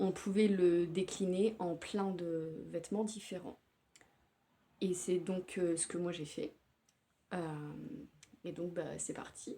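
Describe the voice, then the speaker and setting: Her tone dark and mellow, a woman speaks at a very slow pace with fairly even intonation and long, frequent pauses. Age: 30s. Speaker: knitting podcaster. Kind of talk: casual show-and-tell podcast. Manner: hesitant with frequent fillers.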